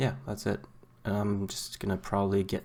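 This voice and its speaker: A man's mumbling at a fairly low pitch and moderate pace. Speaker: gaming video creator. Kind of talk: gameplay commentary. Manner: halting.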